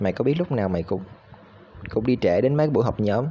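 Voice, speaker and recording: A man with a Vietnamese accent talks at a fairly quick pace with ordinary pitch variation. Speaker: university student. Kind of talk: recorded class assignment. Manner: halting, with fillers.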